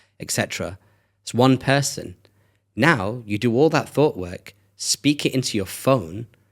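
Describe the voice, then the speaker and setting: With a British accent, a man talks at a fairly slow pace and with lively intonation. The background is silent in this very clean recording. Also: medium pitch for a man. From England. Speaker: brand strategist. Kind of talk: casual interview chat. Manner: animated.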